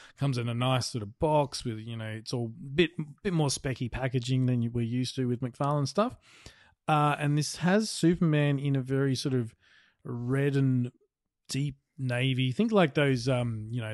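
With an Australian accent, a man talks at a moderate pace and medium pitch. His pitch varies in an ordinary way against a quiet background. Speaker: podcast co-host. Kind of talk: casual chat.

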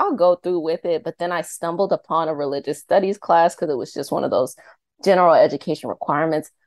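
In a Mid-Atlantic American accent, a woman speaks at a fairly low pitch. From Northern Virginia (Arlington). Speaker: energy healer and YouTube creator. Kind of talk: interview.

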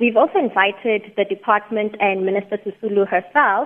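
The speaker has a Botswana accent and talks at a fairly quick pace. The intonation stays fairly even. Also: woman. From South Africa, Mahikeng (North West). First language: Setswana. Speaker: company chief executive. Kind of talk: radio interview. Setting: phone call.

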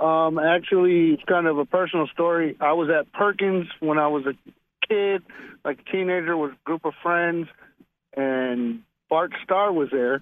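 Speaking in a normal speaking voice, a man with an American accent talks at a fairly high pitch and a moderate pace, with ordinary pitch variation. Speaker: caller. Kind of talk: casual chat. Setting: phone call.

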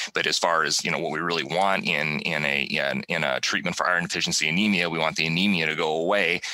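A man's very deep, low voice at a very fast pace, with hardly any pauses, very even loudness and fairly even intonation, over noticeable background noise. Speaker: professor of pharmacy practice and podcast host. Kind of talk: educational podcast monologue. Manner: fast talker; hesitant, repeats words and fillers.

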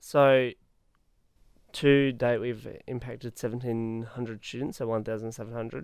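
Speaking in an Australian accent, a man keeps a medium pitch, a moderate pace and a monotone, flat intonation. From Western Australia, Perth. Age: young. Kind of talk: casual interview. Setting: studio.

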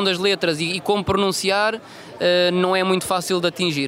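A man speaks in a raised, projected voice at a fairly quick pace, his high pitch held in a flat monotone over noticeable background noise. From Madeira, Portugal (Funchal). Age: 20s. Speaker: football translator and aspiring coach. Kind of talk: interview.

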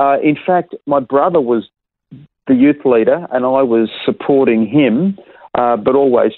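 With an Australian accent, a man talks at a moderate pace and a medium pitch. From Perth, Western Australia. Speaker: pastor. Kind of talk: interview.

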